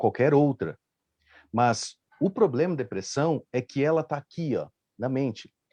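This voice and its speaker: A man talks in a dark, mellow tone with vocal fry. The sound is dry and close with no echo, and the background is quiet. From Rio Grande do Sul, Brazil. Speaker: live stream panelist. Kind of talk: casual panel discussion.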